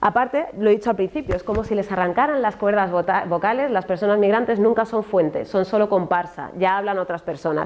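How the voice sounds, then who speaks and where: Animated and at a fairly quick pace, a woman with a Madrid accent speaks at a medium pitch with ordinary pitch variation. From Spain, Madrid area (Alcorcón). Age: 40s. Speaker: journalist and speaker on racism in media. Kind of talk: talk to an audience.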